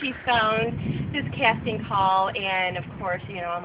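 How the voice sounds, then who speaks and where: This woman has an ordinary speaking voice, medium in pitch, with an American accent. She talks at a fairly slow pace with ordinary pitch variation. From Southwestern Michigan, USA. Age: 30s. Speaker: event coordinator. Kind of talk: casting video talk to camera.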